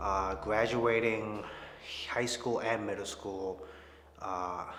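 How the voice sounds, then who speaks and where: A very slow man's voice in an American accent, medium pitch with ordinary variation, audible room echo and music in the background. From Chicago area, US Midwest. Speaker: church member. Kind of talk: testimony. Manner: hesitant, many fillers.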